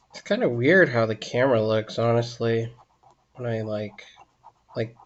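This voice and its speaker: The voice is quiet and moves at a moderate pace. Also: man. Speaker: artist live-streaming drawing. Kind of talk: casual live-stream chat while drawing. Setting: live stream.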